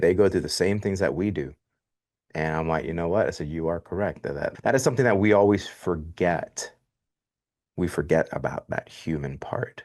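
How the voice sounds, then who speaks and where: Against a quiet background, a man with a very deep, low pitch and ordinary pitch variation speaks at a moderate pace. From Miami, Florida. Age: 40s. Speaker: podcast host. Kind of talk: interview.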